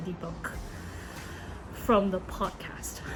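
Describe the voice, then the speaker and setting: Music plays in the background as a woman speaks at a fairly slow pace. She talks with a non-native accent. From Hong Kong. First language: Cantonese. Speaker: YouTuber. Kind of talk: casual monologue. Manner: halting, many fillers and self-corrections.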